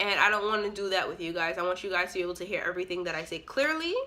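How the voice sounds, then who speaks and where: Very fast and animated, a woman speaks. Her tone is bright and sharp. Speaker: YouTuber. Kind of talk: storytime vlog.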